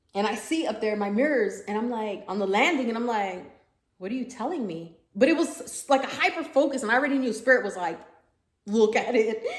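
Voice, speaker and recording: Her fairly high voice has an animated tone and lively intonation as the woman speaks at a fairly quick pace amid audible room echo. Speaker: spiritual medium, vlogger. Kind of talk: casual monologue vlog. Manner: fast.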